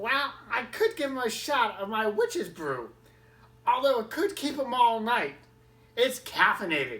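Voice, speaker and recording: Putting on a character voice, a woman speaks at a moderate pace in a high pitch. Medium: read story. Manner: casual, familiar, calls people honey.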